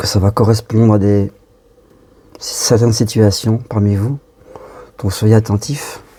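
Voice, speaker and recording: A soft-spoken man talks at a very slow pace with long, frequent pauses and a fairly low pitch. His intonation is monotone and flat, and there is noticeable background noise. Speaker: medium channeling spirit guides. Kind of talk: channeled spiritual message. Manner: halting.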